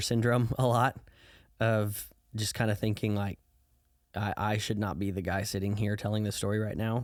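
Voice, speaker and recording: A man with an American accent, fairly low in pitch, at a moderate pace with fairly even intonation, on a very clean recording with a silent background. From US Midwest, Southern Illinois. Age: 20s. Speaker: youth pastor. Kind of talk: testimony; casual chat. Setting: podcast interview. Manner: casual with many fillers.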